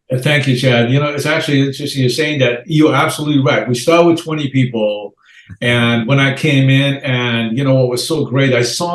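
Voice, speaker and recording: A man's medium-pitched voice, somewhat breathy, moves at a fairly quick pace. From Iran. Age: 60s. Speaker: real estate investor and entrepreneur. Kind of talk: podcast interview. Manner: energetic.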